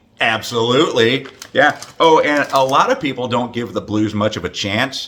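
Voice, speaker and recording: This man's pitch varies in an ordinary way. Background noise is noticeable throughout. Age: 50s. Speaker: hockey fan making a greeting video. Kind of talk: casual greeting video. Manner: halting, many fillers.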